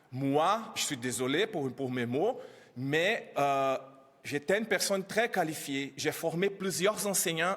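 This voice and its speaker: Speaking at a fairly slow pace with a non-native accent, a man uses lively intonation. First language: not French (speaking French). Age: 30s. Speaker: immigrant educator speaking at press conference. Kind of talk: press conference testimony. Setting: press conference. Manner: halting.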